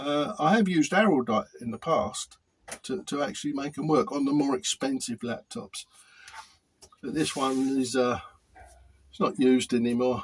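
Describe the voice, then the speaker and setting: Lively intonation marks this man's fairly high-pitched speech, broken by long, frequent pauses. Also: moderate pace. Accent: British. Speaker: hobbyist repair youtuber. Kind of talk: tutorial. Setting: workshop. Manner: halting; hesitant with repetitions.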